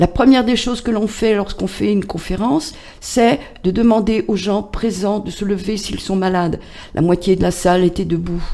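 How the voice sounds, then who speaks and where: Amid noticeable background noise, a woman talks at a moderate pace, her medium pitch showing ordinary variation. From France, Loiret (Chécy). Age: 60s. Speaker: patient association president. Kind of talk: radio interview. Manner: hesitant, many fillers.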